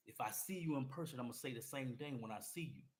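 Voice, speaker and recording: A man talks at a medium pitch in an American accent. His voice is somewhat breathy, with ordinary pitch variation. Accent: sounds like Cleveland and Atlanta. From US Midwest and Atlanta. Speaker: podcast host and musician. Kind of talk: personal monologue. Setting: solo to camera. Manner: animated, repetitive.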